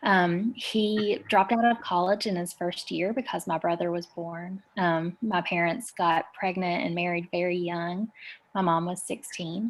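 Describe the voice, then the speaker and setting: A woman with an Appalachian accent speaks at a fairly slow pace with fairly even intonation and a fairly low pitch. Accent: Appalachian Southern US. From US South, rural Eastern Kentucky. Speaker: community organizer. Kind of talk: interview.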